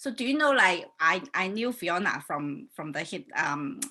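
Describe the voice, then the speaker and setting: A woman with a Chinese accent speaks in a bright, sharp tone with very wide pitch swings. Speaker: life coach and hypnotherapist hosting a talk show. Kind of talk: casual online talk show introduction. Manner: hesitant, many fillers.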